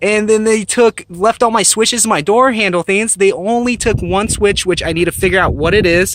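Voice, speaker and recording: At a moderate pace, a man mumbles over noticeable background noise. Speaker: car hobbyist vlogger. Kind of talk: casual vlog walkaround. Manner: mumbling, self-correcting; stuttering, halting.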